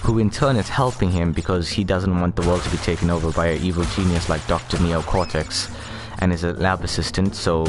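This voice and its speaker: Over music in the background, a man with a very deep, low pitch speaks at a fairly quick pace. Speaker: video game streamer. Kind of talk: gameplay commentary. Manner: fast; halting.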